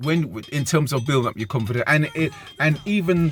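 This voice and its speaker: This man has a British accent and a fairly high pitch. His pitch varies in an ordinary way. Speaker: dating advice vlogger. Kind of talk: casual monologue. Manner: halting, many repeats.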